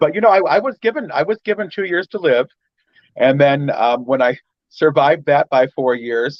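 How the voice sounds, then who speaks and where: A man with a plain, everyday voice speaks at a moderate pace and a fairly high pitch, with lively intonation. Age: 50s. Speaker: fashion professional and podcaster. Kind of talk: casual chat.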